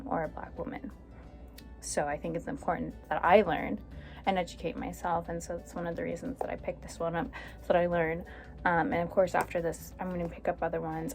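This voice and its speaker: A woman talking at a very fast pace, with music in the background. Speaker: mother and book YouTuber. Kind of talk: casual talk to camera. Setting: home with background noise.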